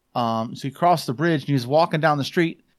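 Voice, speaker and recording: On a very clean recording with a silent background, a man with a Midwestern American accent speaks at a very fast pace. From southwest Michigan, US. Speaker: blogger and podcaster. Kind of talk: casual chat.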